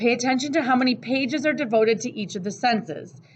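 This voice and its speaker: A woman's loud, high-pitched voice at a fairly quick pace with lively intonation. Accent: American. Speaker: teacher. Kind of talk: lecture. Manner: casual.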